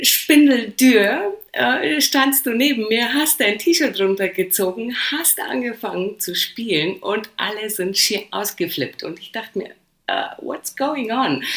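With a Polish accent, a woman talks at a very slow pace and fairly high pitch, her pitch swinging very widely and her loudness shifting in big swings. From Poland, then rural Lower Bavaria near Passau from age 9. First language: Polish (speaking German). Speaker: DJ. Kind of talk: casual interview chat.

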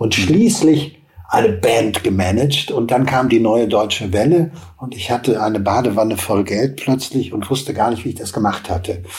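Over noticeable background noise, a man talks at a moderate pace and medium pitch with ordinary pitch variation. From western Germany, Hagen. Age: old. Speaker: TV producer and entrepreneur. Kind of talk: interview.

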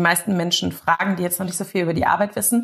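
A somewhat breathy quality runs through this woman's speech. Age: 30s. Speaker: family constellation therapist. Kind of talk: interview.

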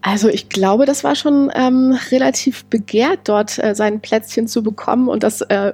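This woman's voice sits fairly high and shows ordinary pitch variation. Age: 30s. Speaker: amateur tennis player and small business founder. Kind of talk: casual interview. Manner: hesitant, many filler sounds.

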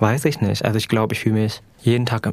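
Noticeable background noise behind a man's fairly low-pitched voice. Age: 20s. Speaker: climate activist. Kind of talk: interview.

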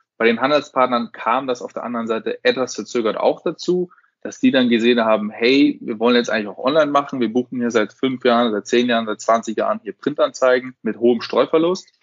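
Hardly any pauses break this man's fairly quick delivery. He has a plain, everyday voice, medium-pitched with ordinary pitch variation. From Munich, Bavaria, Germany. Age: 20s. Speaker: startup founder and managing director. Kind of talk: business podcast interview.

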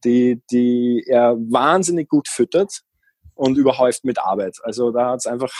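With a normal speaking voice, a man talks at a moderate pace in a medium pitch with ordinary pitch variation, the sound dry and close with no echo. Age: 30s. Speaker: van-dwelling traveller and seasonal worker. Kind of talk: casual interview.

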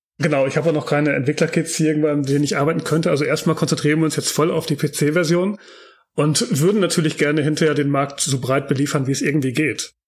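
At a very fast pace, a somewhat breathy man speaks with a fairly high pitch, fairly even intonation and very even loudness, on a very clean recording with a silent background. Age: 40s. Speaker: game developer and architectural visualizer. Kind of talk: interview. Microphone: poor microphone quality.

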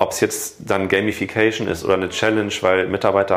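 A man's fairly low-pitched, monotone, flat delivery at a very fast pace, with noticeable background noise. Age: 40s. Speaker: corporate health management entrepreneur. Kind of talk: interview.

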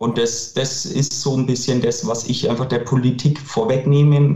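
This man has a dark, mellow tone at medium pitch, somewhat breathy, speaking at a moderate pace with ordinary pitch variation. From Franconia, Bavaria (near Nuremberg). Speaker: clothing manufacturer, company director. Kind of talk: interview.

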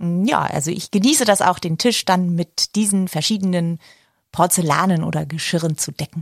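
In a dry, close recording with no echo, a woman with a fairly low pitch speaks at a moderate pace, somewhat breathy, with ordinary pitch variation. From northern Germany, Baltic coast (Glücksburg). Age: 40s. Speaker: podcast co-host, actress. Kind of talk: casual chat.

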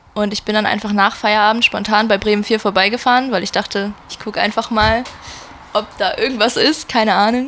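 Monotone, flat intonation at a fairly quick pace. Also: woman, fairly high pitch for a woman. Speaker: concertgoer, music fan. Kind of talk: casual chat. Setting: at home in a shared flat. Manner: soft-spoken.

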